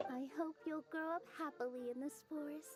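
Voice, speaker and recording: Over clear music in the background, a put-on character voice with a gentle tone moves at a moderate pace. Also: female-sounding voice, high pitch for a woman. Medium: video game. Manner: gentle, sweet.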